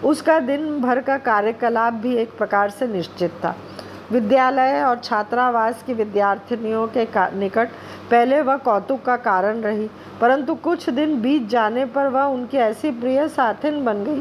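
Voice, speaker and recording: Noticeable background noise sits under this woman's voice. Her pitch is high, with ordinary variation. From India, Madhya Pradesh (Bhopal). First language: Bengali (speaking Hindi). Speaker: guest reader. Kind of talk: reading aloud.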